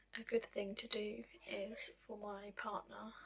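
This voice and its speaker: The speaker talks very slowly in a somewhat breathy voice with monotone, flat intonation. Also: woman. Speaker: vlogger. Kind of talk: personal vlog. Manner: hesitant, many fillers. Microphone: audio has gone quiet.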